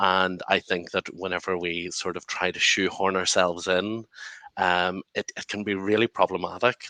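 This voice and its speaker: In a Northern Irish accent, a man with a very deep, low voice speaks at a moderate pace in a monotone, flat intonation, his tone bright and sharp and the sound dry and close with no echo. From Northern Ireland. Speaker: lawyer and activist, panelist. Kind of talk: panel discussion.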